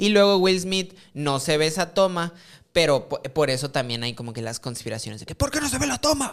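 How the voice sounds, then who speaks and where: With a Mexican accent, a man talks at a fairly quick pace in a fairly high pitch, his intonation lively. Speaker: podcast co-host. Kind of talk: casual chat.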